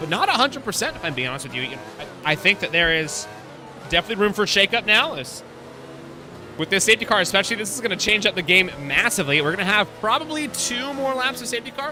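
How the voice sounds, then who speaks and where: A man with an American accent uses a raised, projected voice at a very fast pace and a high pitch. His pitch swings very widely, with music playing in the background. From US, family from Texas. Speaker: sim racing commentator. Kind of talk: live commentary. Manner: casual, chatty.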